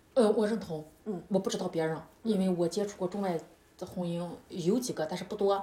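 Against noticeable background noise, a woman with a medium pitch speaks at a fairly quick pace in an animated tone, her pitch varying in an ordinary way. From China. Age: 30s. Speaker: yoga instructor. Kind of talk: casual interview.

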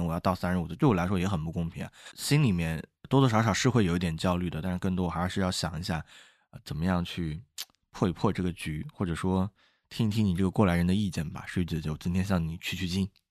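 A very fast man's voice, very deep and low in pitch, with ordinary pitch variation and a quiet background. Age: young. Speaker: podcast co-host. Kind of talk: casual chat.

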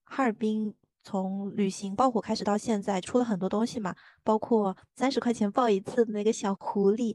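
Fairly high female voice in a flat monotone, dry and close with no echo, over a quiet background. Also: moderate pace. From Zhejiang, China. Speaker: podcast co-host. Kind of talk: casual chat.

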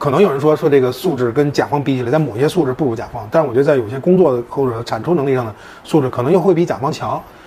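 The speech comes at a very fast pace with hardly any pauses and ordinary pitch variation over noticeable background noise. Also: man, fairly high pitch for a man. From Beijing. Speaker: marketing agency CEO. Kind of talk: interview. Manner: halting.

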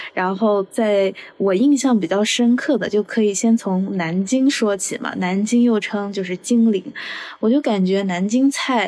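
A woman talks at medium pitch in a plain, everyday voice. Her pace is fairly slow, with ordinary pitch variation. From Guangdong, Zhuhai. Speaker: podcast host. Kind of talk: casual chat.

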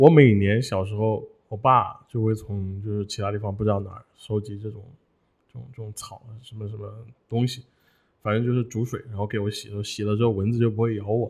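Over a quiet background, a man with a fairly low pitch talks at a fairly quick pace in a monotone, flat delivery, with big swings in loudness. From Hunan. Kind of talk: casual chat. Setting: studio.

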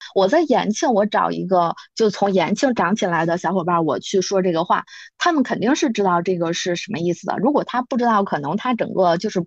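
Against a quiet background, a woman with a medium pitch and ordinary pitch variation talks at a fairly quick pace. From Beijing, Yanqing district (rural outskirts). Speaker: podcast guest. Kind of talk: casual chat. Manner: hesitant, many fillers.

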